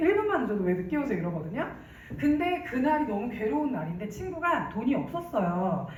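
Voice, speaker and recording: This woman's fairly high voice swings very widely in pitch, with an animated tone and a fairly quick pace. Room echo is audible, and background noise is noticeable. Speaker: network marketing speaker. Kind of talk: business presentation.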